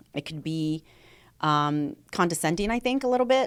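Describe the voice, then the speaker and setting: On a very clean recording with a silent background, a woman speaks loudly at a very deep, low pitch with very wide pitch swings. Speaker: podcast host; salesperson. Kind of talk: casual chat.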